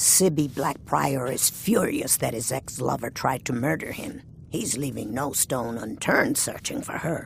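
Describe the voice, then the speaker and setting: Using a put-on character voice at medium pitch, a man speaks over clear background noise. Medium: video game.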